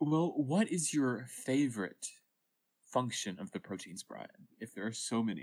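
A man with an ordinary speaking voice and a medium pitch talks at a fairly slow pace with lively intonation. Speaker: co-host, college student.

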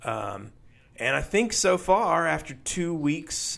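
A man talks very slowly with lively intonation, recorded very cleanly against a silent background. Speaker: podcast co-host. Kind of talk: casual chat about faith.

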